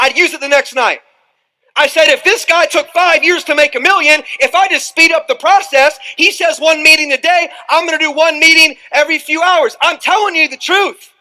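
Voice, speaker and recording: The voice is raised and projected, with a bright, sharp tone, a moderate pace and fairly even intonation. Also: man, extremely high pitch for a man. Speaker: motivational speaker. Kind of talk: motivational seminar talk. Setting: stage with live audience. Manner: loud, high-energy.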